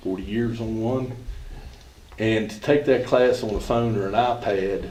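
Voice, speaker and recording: Audible room echo surrounds a man who speaks at a moderate pace with a medium pitch and fairly even intonation. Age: 70s. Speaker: golf coach. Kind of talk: public comment at board meeting. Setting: school board meeting.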